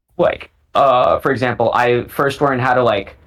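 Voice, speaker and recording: A man with a medium-pitched voice speaks at a moderate pace. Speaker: parkour athlete. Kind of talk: casual chat. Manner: halting.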